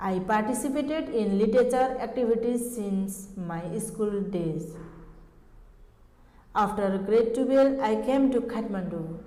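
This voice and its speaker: A woman with a Nepali accent speaks at a fairly slow pace, fairly high in pitch with ordinary pitch variation, amid audible room echo and noticeable background noise. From eastern Nepal. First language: Sunuwar. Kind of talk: formal presentation. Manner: formal.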